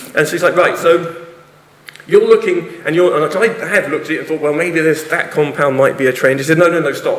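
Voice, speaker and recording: A man with an English accent, a high pitch and ordinary pitch variation, at a fairly quick pace over noticeable background noise. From England. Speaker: university lecturer and researcher. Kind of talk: conference talk. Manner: animated.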